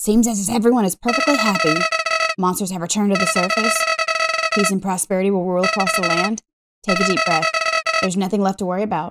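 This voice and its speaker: Pitched fairly high, a put-on character voice races along at a very fast pace. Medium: game stream. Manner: pleading, wistful.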